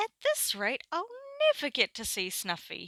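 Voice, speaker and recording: A woman puts on a character voice, speaking at a moderate pace with a high pitch. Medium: read story.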